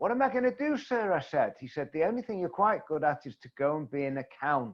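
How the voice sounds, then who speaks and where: Speaking fairly quickly with hardly any pauses, a man with an English accent uses a fairly high pitch, very wide pitch swings and big swings in loudness. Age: 70s. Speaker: networking coach. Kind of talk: interview.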